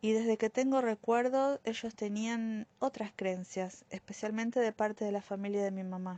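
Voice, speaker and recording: Taking a fairly slow pace, a woman speaks in a dark, mellow tone. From Argentina, Buenos Aires area (Bernal). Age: 50s. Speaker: social worker giving church testimony. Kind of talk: testimony. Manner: hesitant with many fillers.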